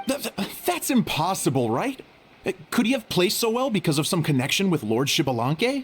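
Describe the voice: A man's cartoonish character voice, high-pitched and fairly bright, with a slightly husky edge and big pitch swings. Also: moderate pace.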